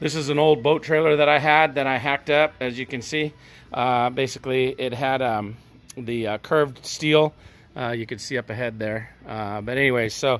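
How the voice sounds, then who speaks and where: A man's voice with fairly even intonation at a moderate pace. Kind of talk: tutorial. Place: garage. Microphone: phone near.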